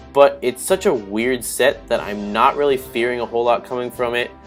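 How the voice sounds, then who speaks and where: Music plays behind a man who talks at a fairly quick pace in a medium pitch. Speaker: gaming commentator. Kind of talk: game commentary narration. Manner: casual, hesitant with fillers.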